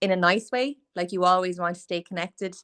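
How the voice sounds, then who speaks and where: Recorded with a dry, close sound and no echo, a woman with an Irish accent speaks at a medium pitch and moderate pace. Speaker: podcast host, small business owner. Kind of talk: casual interview chat. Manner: chatty, filler-heavy.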